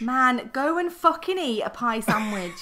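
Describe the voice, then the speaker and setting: Speaking at a moderate pace with a Northern English accent, a woman keeps a high pitch that swings very widely. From North of England. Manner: casual, sweary banter.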